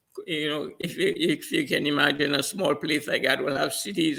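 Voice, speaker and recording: A man's tone is bright and sharp, his voice raised and projected. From Trinidad and Tobago. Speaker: trainer. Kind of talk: interview. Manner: halting, repeating words.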